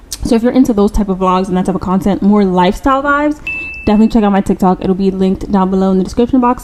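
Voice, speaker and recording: Talking at a very fast pace, a woman keeps a medium pitch with ordinary pitch variation and very even loudness. Noticeable background noise is present. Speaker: YouTuber starting a podcast. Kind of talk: casual chat to camera. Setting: home podcast-style setup. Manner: stumbling, restarts words.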